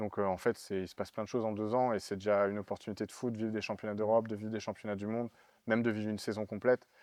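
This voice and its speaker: A man at a very fast pace, fairly low in pitch, with monotone, flat intonation. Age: 30s. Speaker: Olympic fencer. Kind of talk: interview. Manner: hesitant, many fillers.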